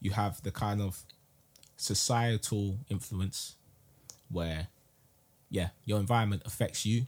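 A man with a London accent, fairly low-pitched and somewhat breathy, at a fairly slow pace with long, frequent pauses and fairly even intonation, on a very clean recording with a silent background. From South London. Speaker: podcast host. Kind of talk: casual chat.

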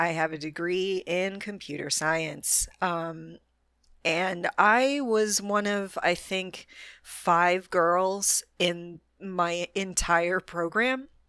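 The background is silent and the recording very clean. A woman talks very slowly. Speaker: tech trainer and podcast host. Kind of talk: solo monologue podcast. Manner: frequent laughter and fillers.

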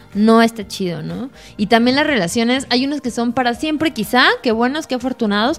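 Music plays in the background as a woman speaks at a fairly quick pace. Her pitch is high, with ordinary variation. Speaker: podcast co-host. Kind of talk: casual chat.

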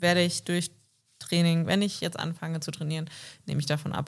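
Here a woman speaks at a fairly low pitch in a monotone, flat intonation. Her pace is fairly quick. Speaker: podcast co-host. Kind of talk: casual chat.

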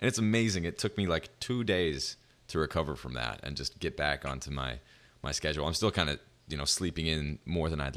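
This man has a very deep, low voice with vocal fry and lively intonation. He talks at a fairly quick pace on a very clean recording with a silent background. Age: 20s. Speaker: podcast host. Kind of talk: casual interview chat.

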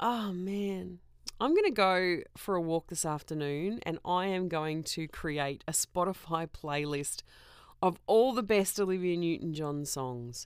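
A woman with an Australian accent speaks at a fairly slow pace, her pitch fairly low with ordinary variation. The recording is very clean, with a silent background. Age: 40s. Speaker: podcast host. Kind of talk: casual solo monologue.

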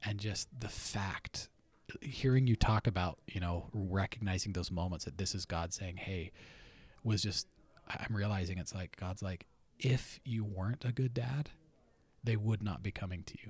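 Silent background and a very clean recording of a man's somewhat breathy, fairly low voice, moderate pace, ordinary pitch variation. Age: 40s. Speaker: podcast host. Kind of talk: casual chat. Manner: animated.

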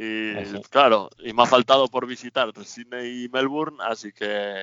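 A man speaks in a plain, everyday voice at medium pitch. His intonation stays fairly even. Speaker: temporary resident in Australia. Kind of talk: radio interview.

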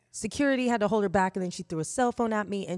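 On a very clean recording with a silent background and a dry, close sound with no echo, a woman speaks very fast at a medium pitch with ordinary pitch variation. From Indiana, US Midwest. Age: 40s. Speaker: sexologist and sex educator. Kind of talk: casual podcast conversation. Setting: podcast recorded at kitchen table, on camera.

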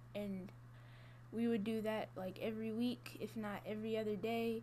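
Audible room echo hangs around the voice of a woman as she talks. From Georgia, Gwinnett County. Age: young. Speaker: college student. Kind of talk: interview. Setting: office.

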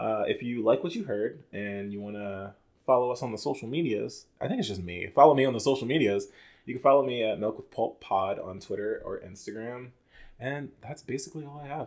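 Over a very clean recording with a silent background, a man in a normal speaking voice talks at a fairly quick pace and medium pitch, with ordinary pitch variation and big swings in loudness. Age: 20s. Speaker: podcast host. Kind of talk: casual chat.

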